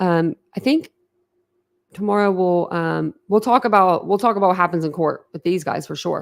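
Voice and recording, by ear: A woman speaks at a fairly low pitch with a clear, smooth tone and vocal fry. Her pitch variation is ordinary.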